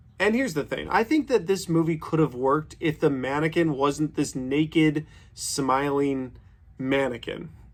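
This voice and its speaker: A man with a fairly high pitch talks at a moderate pace with ordinary pitch variation in an unremarkable speaking voice. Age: 30s. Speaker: movie reviewer. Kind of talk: casual review monologue.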